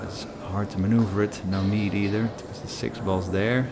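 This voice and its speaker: A man with a fairly low pitch is heard amid noticeable background noise and audible room echo. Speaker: pool commentator. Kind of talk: live commentary.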